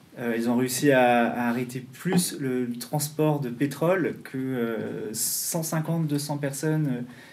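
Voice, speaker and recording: A man at a fairly slow pace, medium in pitch, with fairly even intonation and audible room echo. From North America (US and Canada). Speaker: activist publisher. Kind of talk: panel discussion. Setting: public talk with audience. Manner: hesitant, many fillers.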